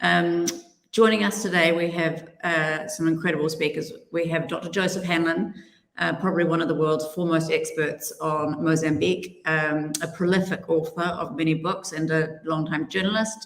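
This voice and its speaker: A woman with a strong New Zealand accent speaks in a fairly low pitch. Her intonation is fairly even, and audible room echo is present. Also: moderate pace. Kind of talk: panel introduction.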